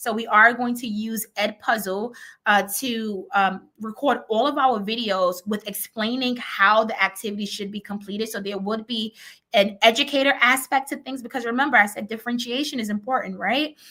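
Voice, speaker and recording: A woman's fairly high voice, bright and sharp in tone, with fairly even intonation but big swings in loudness. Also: moderate pace. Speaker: educator and conference presenter. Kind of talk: virtual conference presentation.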